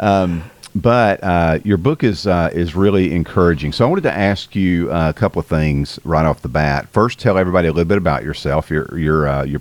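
The speaker has a strong Southern US accent, ordinary pitch variation and hardly any pauses. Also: man. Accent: strong Southern US drawl. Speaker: podcast host. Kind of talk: interview, casual chat. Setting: remote call with guest.

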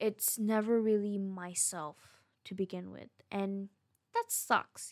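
A woman's medium-pitched voice with a non-native accent, ordinary pitch variation, and a dry, close sound with no echo. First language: not English. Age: 20s. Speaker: podcaster. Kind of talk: casual monologue. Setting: recording alone at home late at night.

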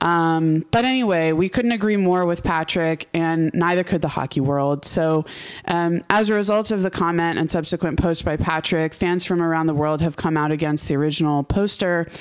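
At a moderate pace with hardly any pauses, a normal speaking voice holds very even loudness and ordinary pitch variation. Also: woman, fairly low pitch for a woman. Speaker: hockey podcast host. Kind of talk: casual chat.

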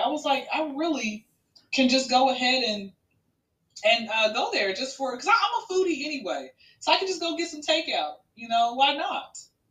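A woman speaks at a moderate pace. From Atlanta, Georgia. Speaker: comedian. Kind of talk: casual chat.

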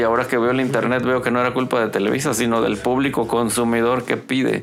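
A man speaks fairly quickly with a Mexican accent. His medium-pitched voice stays monotone and flat. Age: 50s. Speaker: rock guitarist and songwriter. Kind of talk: casual chat. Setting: home studio.

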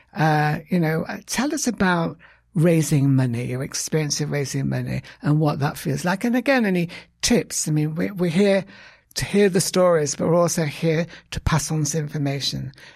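Recorded very cleanly with a silent background, a man with a British accent speaks at a fairly high pitch. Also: ordinary pitch variation, moderate pace. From Britain. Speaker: podcast host. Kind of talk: interview. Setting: studio.

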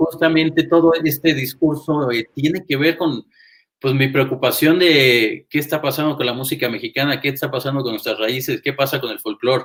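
In an unremarkable speaking voice, a man speaks at a moderate pace with fairly even intonation and fairly high pitch. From Toluca, central Mexico (born in Monterrey). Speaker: jazz saxophonist. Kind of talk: casual interview chat.

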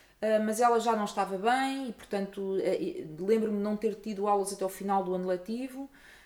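An ordinary speaking voice from a woman, fairly high in pitch, fairly quick, with ordinary pitch variation. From Portugal. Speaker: musicologist and opera singer. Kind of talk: interview.

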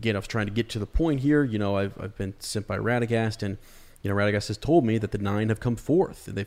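The text is read aloud. The delivery is natural.

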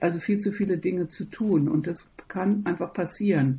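A woman's somewhat breathy voice, dark and mellow in tone, at a fairly low pitch and fairly slow pace, with fairly even intonation. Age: 60s. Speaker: opera singer and voice teacher. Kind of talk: interview.

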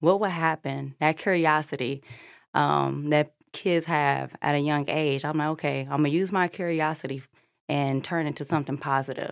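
A woman with a very deep, low pitch talks at a moderate pace with fairly even intonation on a very clean, silent recording. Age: young. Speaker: head of support at a mental health gym. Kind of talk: casual chat.

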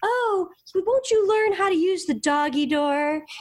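Using a put-on character voice, a woman squeaks out her lines at an extremely high pitch and a fairly slow pace. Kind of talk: sarcastic. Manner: snide, bitchy.

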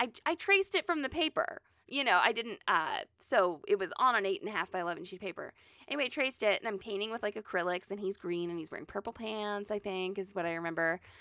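Speaking at a very fast pace with lively intonation, a woman with a medium pitch and a bright, sharp tone comes through in a dry, close sound with no echo on a very clean recording with a silent background. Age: 30s. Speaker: sewing podcast co-host. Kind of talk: casual chat.

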